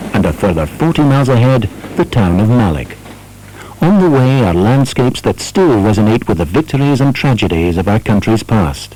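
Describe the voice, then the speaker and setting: Amid noticeable background noise, a man at medium pitch talks at a fairly quick pace, his loudness very even while his pitch swings very widely. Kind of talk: documentary narration.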